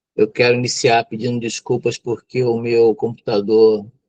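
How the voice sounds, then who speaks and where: Here a man speaks at a fairly slow pace and medium pitch. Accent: Brazilian. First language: Tupi (speaking Portuguese). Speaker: psychologist and mental health lecturer. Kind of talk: lecture. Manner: hesitant, many fillers.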